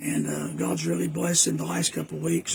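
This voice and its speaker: A man with an American accent and a very deep, low pitch, with very wide pitch swings, over noticeable background noise. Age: 60s. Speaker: preacher. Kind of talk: casual talk. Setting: outdoors on back porch. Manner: halting.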